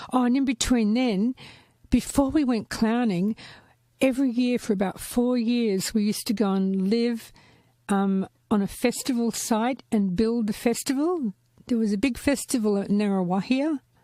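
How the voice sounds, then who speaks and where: A woman's fairly high pitch in a dark, mellow tone, with very even loudness and a very clean recording with a silent background. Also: ordinary pitch variation, moderate pace. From Gold Coast, Australia. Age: 60s. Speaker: podcast guest, former clown. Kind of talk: casual chat.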